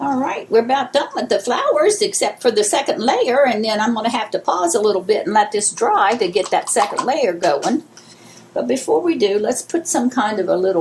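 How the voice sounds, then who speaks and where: A woman speaks at a moderate pace over noticeable background noise. Her pitch swings very widely. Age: 70s. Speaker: craft video host. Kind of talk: tutorial. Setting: home, filming alone. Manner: casual, rambling with fillers.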